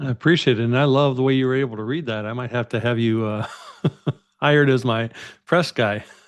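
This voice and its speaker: Here a man of medium pitch talks at a fairly quick pace with ordinary pitch variation. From US Midwest (Minneapolis, Iowa). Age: 60s. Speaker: entrepreneur and podcast host. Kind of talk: interview conversation.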